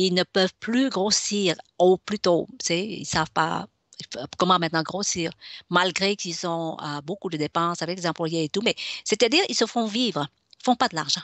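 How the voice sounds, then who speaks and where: With ordinary pitch variation, a woman speaks at a moderate pace in a fairly low voice. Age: 60s. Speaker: business consultant. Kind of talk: radio interview. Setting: web radio. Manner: halting, many fillers.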